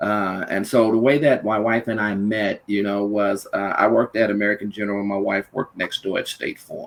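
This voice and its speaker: Over noticeable background noise, someone with a Louisiana accent talks at a fairly quick pace, with hardly any pauses and a monotone, flat intonation. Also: man, fairly low pitch for a man. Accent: Louisiana Southern US. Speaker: panel guest. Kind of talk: personal storytelling in a podcast discussion.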